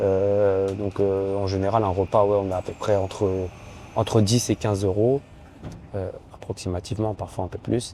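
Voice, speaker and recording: Over noticeable background noise, a man talks in a fairly low pitch with monotone, flat intonation. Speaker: judoka and vlogger. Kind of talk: casual vlog.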